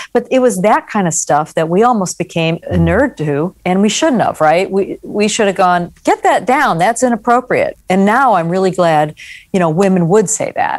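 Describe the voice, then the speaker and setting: A woman speaks with an American accent in an ordinary speaking voice, medium in pitch, at a moderate pace with hardly any pauses. Her intonation is lively and her loudness very even, on a very clean recording with a silent background. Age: 60s. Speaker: journalist and magazine editor. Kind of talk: interview.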